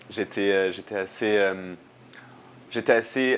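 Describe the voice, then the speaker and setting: Light background noise runs under a man's voice. His pitch is fairly low, with ordinary variation. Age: 20s. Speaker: student and climate activist; interviewee. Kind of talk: interview. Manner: halting, many fillers and repetitions. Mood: reflective, thoughtful. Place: home room. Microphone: lapel.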